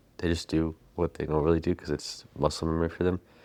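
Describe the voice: A soft-spoken man with a low pitch and a slightly mellow tone, at a moderate pace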